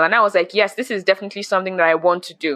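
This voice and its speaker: A woman speaks with a bright, sharp tone. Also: dry, close sound with no echo. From Nigeria. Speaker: spoken word poet and podcaster. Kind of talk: interview conversation.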